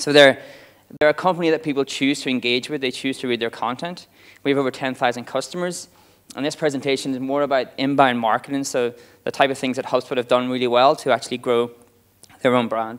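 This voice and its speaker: A man with an Irish accent speaks at a very fast pace in a medium pitch with fairly even intonation. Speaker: marketing director giving a talk. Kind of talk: conference talk. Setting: stage with audience.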